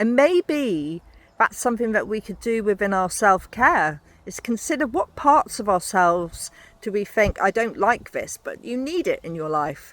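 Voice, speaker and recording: The loudness swings a lot, and the pitch swings very widely. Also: woman, fairly high pitch for a woman, moderate pace. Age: 60s. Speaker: podcaster. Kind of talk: walking monologue.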